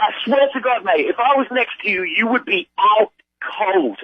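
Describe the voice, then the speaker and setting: In a British accent, a man speaks in an angry tone at an extremely high pitch and a fairly slow pace. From Britain. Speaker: prank call victim. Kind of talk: phone call argument. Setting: phone call. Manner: angry, shouting.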